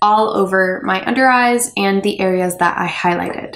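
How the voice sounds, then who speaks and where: Noticeable background noise sits behind a woman at medium pitch. She speaks at a moderate pace with fairly even intonation. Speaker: beauty blogger. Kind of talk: makeup tutorial voiceover.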